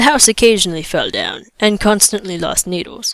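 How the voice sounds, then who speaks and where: A woman talks at a moderate pace and medium pitch in an ordinary speaking voice. The recording is very clean and silent behind her, with a dry, close sound and no echo. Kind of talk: audiobook reading.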